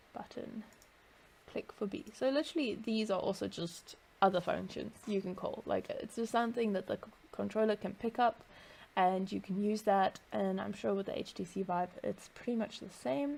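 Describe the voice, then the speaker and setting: The woman's voice sits at a medium pitch and is somewhat breathy. Its pitch moves in an ordinary way. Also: moderate pace. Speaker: VR developer tutorial maker. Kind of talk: screen-recorded tutorial.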